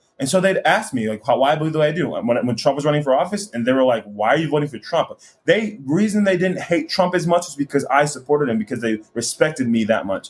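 Speaking at a very fast pace, a man with a fairly high pitch and lively intonation sounds somewhat breathy. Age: 20s. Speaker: conservative commentator. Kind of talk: interview.

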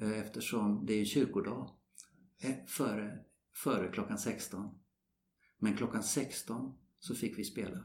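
A man speaks at a very slow pace with long, frequent pauses. His voice has vocal fry and ordinary pitch variation. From Sweden. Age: 70s. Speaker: retired golf professional. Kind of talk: interview. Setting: golf club.

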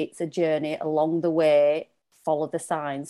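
With a Lancashire accent, a woman speaks at a fairly slow pace in a very deep, low pitch, her tone dark and mellow and her intonation fairly even. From Lancashire, northern England. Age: 40s. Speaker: feminine leadership coach. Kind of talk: casual chat.

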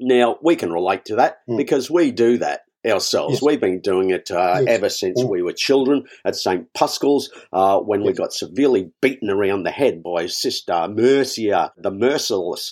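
Speaking with an Australian accent, a man uses lively intonation at a medium pitch and moderate pace. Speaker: comedy podcast host. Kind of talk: casual comedic banter.

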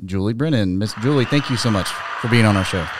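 Delivered at a very fast pace with ordinary pitch variation, the speech has noticeable background noise. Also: man. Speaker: school principal and podcast host. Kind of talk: casual chat. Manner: halting, many fillers.

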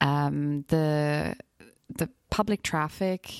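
A woman speaks with a German accent on a very clean recording with a silent background. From Bavaria, Germany. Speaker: travel podcast guest. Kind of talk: casual interview.

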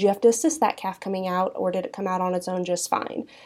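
A woman talks in an unremarkable speaking voice at medium pitch. Her pace is fairly quick, in a very clean recording with a silent background. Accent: American. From Kansas (Southeast). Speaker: cattle breed association director. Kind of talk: interview.

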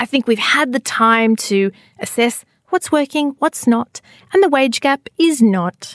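Speaking in an Australian accent, a woman talks at a fairly slow pace with high pitch and lively intonation. Her loudness stays very even, and the sound is dry and close with no echo. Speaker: podcast host. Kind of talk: casual chat. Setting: studio. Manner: animated.

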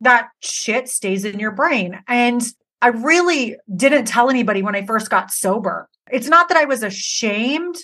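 Loud and animated, a woman with a high pitch and a bright, sharp tone speaks at a fairly slow pace with lively intonation. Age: 40s. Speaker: hair stylist and educator. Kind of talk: casual interview chat.

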